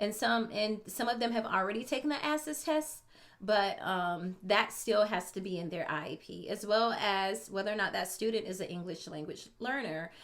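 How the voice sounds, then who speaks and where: Hardly pausing, a woman with an unremarkable speaking voice talks at a moderate pace in a medium pitch with lively intonation. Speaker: special education teacher. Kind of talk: tutorial. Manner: casual with many fillers.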